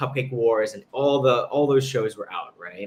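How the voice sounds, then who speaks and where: A man speaks fairly quickly with a slight New York accent and a bright, sharp tone. His medium pitch varies in an ordinary way. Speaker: pastry chef and chocolatier. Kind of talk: interview.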